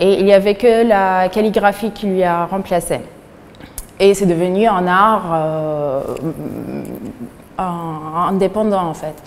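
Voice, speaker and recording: In an Arabic accent, a woman speaks at a very slow pace with fairly even intonation and long, frequent pauses. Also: medium pitch for a woman. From Syria. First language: Arabic (speaking French). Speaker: painter. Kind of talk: interview. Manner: halting, many hesitations.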